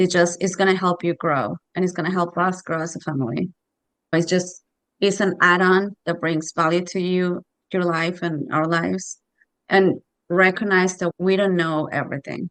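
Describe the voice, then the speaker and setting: At a moderate pace, a woman with a Spanish accent talks in a fairly low pitch with fairly even intonation. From Mexico. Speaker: parent. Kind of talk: casual chat.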